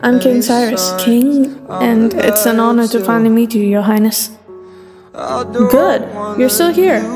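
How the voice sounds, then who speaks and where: With music in the background, a woman speaks at a fairly slow pace in a fairly high pitch, with ordinary pitch variation. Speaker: audiobook narrator. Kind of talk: audio drama narration of a novel.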